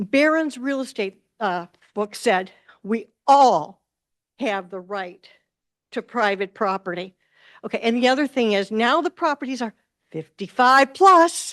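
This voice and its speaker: Over a quiet background, a woman speaks at a fairly slow pace in a fairly high pitch, with very wide pitch swings and long, frequent pauses. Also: dry, close sound with no echo. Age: 70s. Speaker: resident speaking at public comment. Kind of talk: public comment at township meeting. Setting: township board meeting.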